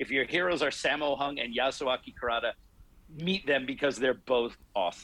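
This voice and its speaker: A man speaks at a fairly quick pace in a plain, everyday voice, fairly high pitched, with ordinary pitch variation. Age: 40s. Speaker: martial arts instructor and podcaster. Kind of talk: casual interview.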